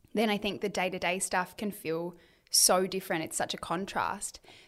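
A woman speaks at a fairly quick pace with an Australian accent. The recording is very clean, with a silent background. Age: 30s. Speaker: author and influencer. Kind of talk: casual interview chat.

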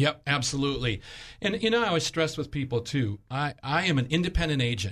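With a normal speaking voice, a man talks fairly quickly at a fairly high pitch. His intonation is lively and his loudness very even. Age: 60s. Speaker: health insurance agent. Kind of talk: radio interview.

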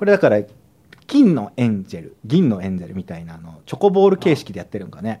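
Talking at a very fast pace, a man lets his loudness swing widely. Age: 30s. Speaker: comedian. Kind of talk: casual chat.

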